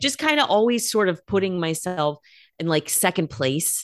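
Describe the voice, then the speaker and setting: Against a quiet background, a woman with an American accent speaks at medium pitch and a moderate pace. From California, US West Coast. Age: 40s. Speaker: nutritional therapy practitioner and meditation teacher. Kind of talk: interview conversation. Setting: remote call.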